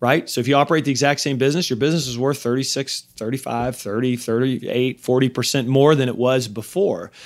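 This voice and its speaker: On a very clean recording with a silent background, a man speaks at a fairly quick pace in an ordinary speaking voice at medium pitch. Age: 40s. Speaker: podcast host, M&A advisor. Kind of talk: solo podcast monologue on finance.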